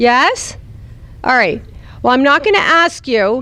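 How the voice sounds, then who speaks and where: A woman with an American accent speaks at a moderate pace in a high pitch, her animated tone marked by very wide pitch swings. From New Jersey. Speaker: speaker at a youth retreat. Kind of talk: talk to children's group.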